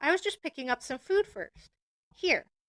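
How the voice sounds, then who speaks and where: A woman puts on a character voice at an extremely high pitch. She speaks at a moderate pace, and the sound is dry and close with no echo. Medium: read story. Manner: hesitant, unsure.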